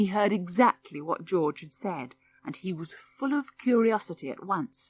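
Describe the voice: The intonation rises and falls in a lively way. The text is read aloud plainly.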